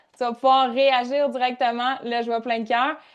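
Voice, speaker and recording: A woman in a Quebec accent, high-pitched and animated, at a fairly slow pace against a quiet background. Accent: Québécois French. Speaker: workshop leader and coach. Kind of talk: live online workshop. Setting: live video call.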